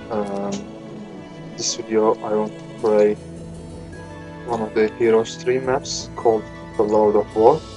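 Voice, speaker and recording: Over music in the background, a man with a fairly low pitch speaks at a fairly slow pace. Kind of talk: game playthrough commentary. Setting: noisy home microphone. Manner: hesitant, many filler words.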